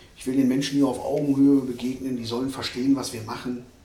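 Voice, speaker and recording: Fairly quick speech from a man, amid audible room echo and noticeable background noise. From Ruhr area, Germany. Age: 40s. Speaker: dentist. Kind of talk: casual interview. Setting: dental practice.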